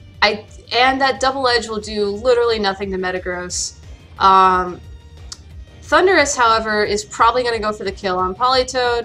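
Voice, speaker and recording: A woman's fairly high voice with ordinary pitch variation, music playing in the background. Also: moderate pace. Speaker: competitive video game player. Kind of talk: casual gameplay commentary.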